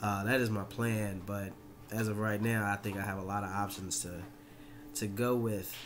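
Over noticeable background noise, a man with an American accent talks at a moderate pace in a fairly low, monotone, flat voice. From Georgia, US South. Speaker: college student; self-introduction vlogger. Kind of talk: self-introduction video. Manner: casual, hesitant with fillers. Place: home room. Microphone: webcam.

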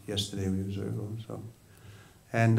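A man with a New York accent at a moderate pace. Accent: New York American. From US Northeast, Long Island, New York. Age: 60s. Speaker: Hare Krishna monk; religious teacher. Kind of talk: sermon. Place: hall. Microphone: studio mic.

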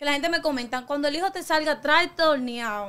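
The voice is raised and projected, with a bright, sharp tone and a very fast pace. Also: woman. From Dominican Republic, La Caleta near Boca Chica; Dominican Republic. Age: young. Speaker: TikToker; interview guest. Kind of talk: interview. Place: studio. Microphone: studio mic.

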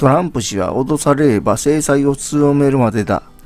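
With music in the background, the speech moves at a fairly slow pace with ordinary pitch variation. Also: man. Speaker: YouTube news commentator. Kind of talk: news article reading.

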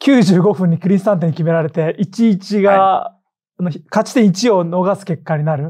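A man at a moderate pace, high-pitched with a dark, mellow tone and ordinary pitch variation, over a quiet background. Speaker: football podcast host. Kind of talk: casual chat. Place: studio.

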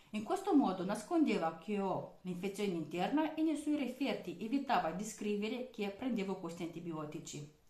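A woman speaks with very wide pitch swings, and audible room echo surrounds her voice. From outside Italy. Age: 20s. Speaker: vlogger. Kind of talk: personal testimony monologue. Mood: serious, aggrieved. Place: kitchen. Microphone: webcam.

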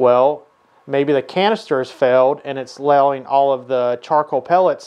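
In a quiet setting, a man's speech moves at a moderate pace. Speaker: automotive technician educator. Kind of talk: tutorial. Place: workshop.

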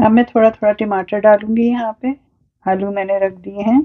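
A medium-pitched woman at a moderate pace, with fairly even intonation and a dry, close sound with no echo

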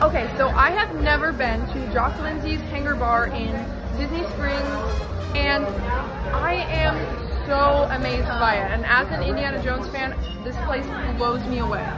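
Loud music plays in the background as a woman speaks at a moderate pace. She leaves long, frequent pauses. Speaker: visitor vlogger. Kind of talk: casual vlog chat. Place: bar. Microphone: phone near.

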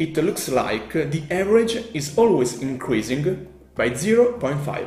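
A man with an Italian accent speaks at a fairly slow pace in a fairly high pitch with very wide pitch swings, with faint music behind him and audible room echo. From Italy. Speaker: math YouTuber. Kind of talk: math tutorial. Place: home room.

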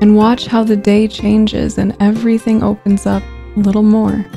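Calm, soothing female voice at a medium pitch, with faint music in the background. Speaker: meditation guide. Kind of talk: guided meditation. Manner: calm, soothing, slow-paced. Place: home room. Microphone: studio mic.

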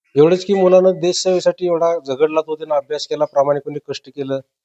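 A man's fairly high-pitched voice has a dark, mellow tone and fairly even intonation. The sound is dry and close, with no echo. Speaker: father of recruit. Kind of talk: interview.

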